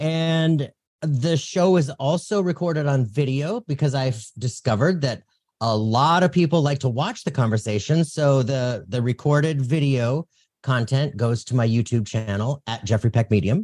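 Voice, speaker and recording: A man with a medium pitch talks at a moderate pace in an energetic tone, somewhat breathy and with lively intonation. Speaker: psychic medium and podcaster. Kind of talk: casual interview chat.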